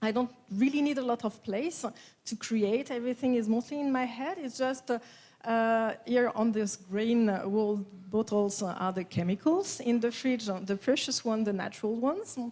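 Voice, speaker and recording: A woman speaks with a strong French accent at a moderate pace. Her fairly high voice shows ordinary pitch variation. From France. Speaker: perfumer. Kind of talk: conference talk. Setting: stage with audience. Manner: hesitant, many fillers.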